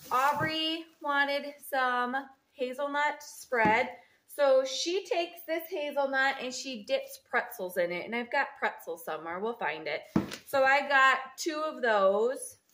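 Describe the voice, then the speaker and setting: Using a raised, projected voice, a woman speaks at a fairly slow pace. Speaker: home vlogger. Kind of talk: casual vlog chat. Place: kitchen. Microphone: phone near.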